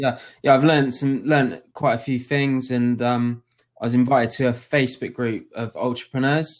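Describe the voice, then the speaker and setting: The voice belongs to a man with a medium pitch. He speaks in a monotone, flat intonation. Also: moderate pace, quiet background. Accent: West Country. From southwest England (Dorset). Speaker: DJ. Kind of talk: casual chat. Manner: halting.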